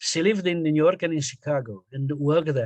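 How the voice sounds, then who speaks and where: Moderately paced speech from a man, fairly high in pitch. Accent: Romanian. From Romania, Transylvania (northwest). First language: Romanian. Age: 60s. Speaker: poet and radio journalist. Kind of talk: interview. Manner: halting.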